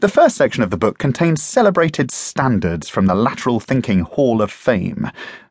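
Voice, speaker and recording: A man speaks at medium pitch with vocal fry and very wide pitch swings. His loudness stays very even, with hardly any pauses. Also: moderate pace. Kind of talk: audiobook reading. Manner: dry, wry, witty, measured; formal, clear, even pacing.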